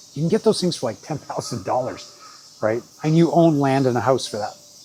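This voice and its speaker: A man talks at a fairly quick pace with a Canadian accent and ordinary pitch variation. Noticeable background noise runs underneath. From Canada, Vancouver Island. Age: 60s. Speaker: travel vlogger. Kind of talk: casual vlog talk. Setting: in Japan, summer. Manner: informal, with fillers.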